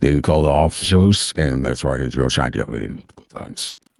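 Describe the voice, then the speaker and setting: In a put-on character voice, a man talks fairly quickly at a very deep, low pitch with ordinary pitch variation. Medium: game stream.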